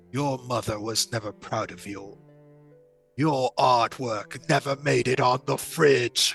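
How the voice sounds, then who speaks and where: A man whispering in a put-on character voice at a fairly slow pace, with faint music in the background. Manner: mocking, cruel taunt.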